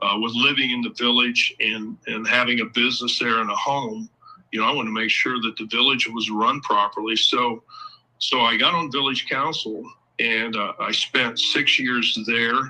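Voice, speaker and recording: A man at a moderate pace with a Midwestern American accent. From Ohio. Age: 60s. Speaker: local political candidate. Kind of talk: interview. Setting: live show.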